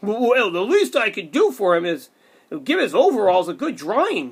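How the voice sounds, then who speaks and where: At a moderate pace, someone performs a put-on character voice with a fairly high pitch. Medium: read story.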